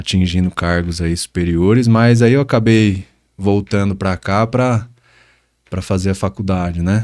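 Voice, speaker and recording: In a very clean recording with a silent background, a man speaks at a fairly slow pace. His pitch is fairly low and varies in an ordinary way. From interior of São Paulo state, Brazil. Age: 20s. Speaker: personal trainer. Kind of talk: interview. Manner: hesitant, many fillers.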